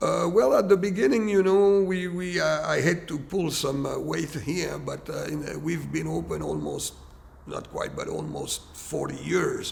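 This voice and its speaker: A man with a French accent at a fairly slow pace, audible room echo and noticeable background noise. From France. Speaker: restaurant owner. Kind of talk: documentary interview.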